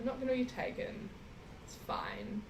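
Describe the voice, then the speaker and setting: A woman with a New Zealand accent, audible room echo and noticeable background noise. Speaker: traveller. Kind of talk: casual chat.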